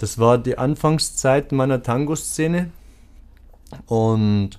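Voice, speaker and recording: A man's voice with ordinary pitch variation. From Lower Bavaria, Germany. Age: 40s. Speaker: tango event organizer. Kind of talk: interview. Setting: studio.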